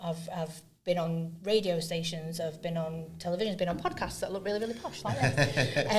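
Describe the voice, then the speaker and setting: A woman speaks in a fairly low, somewhat breathy voice, with audible room echo around her. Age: 40s. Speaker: neuroinclusion advocate and trainer. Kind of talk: podcast interview. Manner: speeds up when excited.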